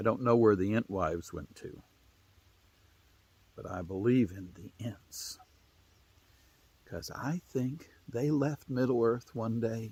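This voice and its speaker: Very slow and full of long, frequent pauses, a man in an Appalachian accent speaks somewhat breathily with lively intonation and big swings in loudness. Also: medium pitch for a man. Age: 60s. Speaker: storyteller. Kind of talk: storytelling. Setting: outdoors.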